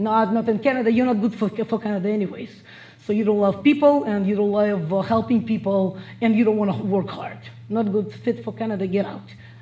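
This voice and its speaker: The speaker has a Russian accent and a fairly quick pace with fairly even intonation. Noticeable background noise runs behind the voice. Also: woman, medium pitch for a woman. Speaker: motivational speaker. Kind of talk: motivational speech.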